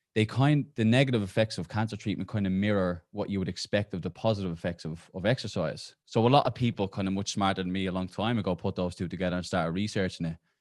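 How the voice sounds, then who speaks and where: A man with an Irish accent and a fairly low pitch, talking very fast with hardly any pauses, on a very clean recording against a silent background. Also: ordinary pitch variation. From Ireland. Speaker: exercise oncology researcher, professor. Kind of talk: podcast interview. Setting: podcast recording.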